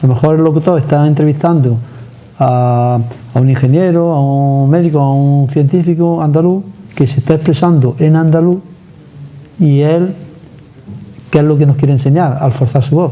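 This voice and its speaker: At a moderate pace, the speaker keeps fairly even intonation and very even loudness, with long, frequent pauses. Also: man, fairly high pitch for a man. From Andalusia. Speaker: TV interviewer. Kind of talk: interview.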